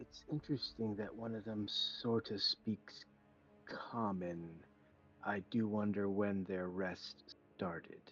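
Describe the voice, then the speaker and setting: Someone whispers in a put-on character voice. The pace is fairly slow. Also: man. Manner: whispering.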